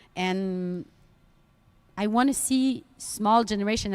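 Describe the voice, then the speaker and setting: A woman talks fairly slowly in a Quebec French accent, her pitch fairly high with ordinary variation. The recording is very clean, with a silent background. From Quebec, Canada. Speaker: sports commentator. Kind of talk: live commentary.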